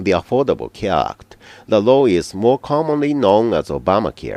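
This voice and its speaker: With a Japanese accent, a man talks at a moderate pace with vocal fry and very wide pitch swings, the sound dry and close with no echo against a quiet background. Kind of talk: news script reading.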